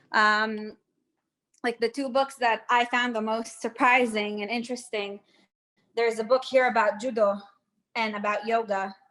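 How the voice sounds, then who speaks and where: A woman with an American accent speaks at a moderate pace with long, frequent pauses, her fairly high-pitched voice bright and sharp in tone, with monotone, flat intonation. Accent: sounds American. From Israel. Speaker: tour guide. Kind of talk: guided tour Q&A. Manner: casual, hesitant with many fillers.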